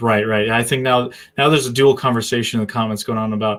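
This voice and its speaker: In a slight New England accent, a man speaks with fairly even intonation on a very clean recording with a silent background. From US Northeast, southern New Hampshire. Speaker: live stream host. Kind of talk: casual live-stream interview chat.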